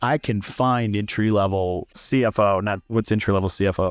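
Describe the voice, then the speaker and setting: A man with an American accent speaks at a moderate pace and a fairly low pitch, in an unremarkable speaking voice. The sound is dry and close with no echo, over a quiet background. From US Midwest, central Illinois. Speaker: startup founder, former HR leader. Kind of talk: casual interview over beers. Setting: bar.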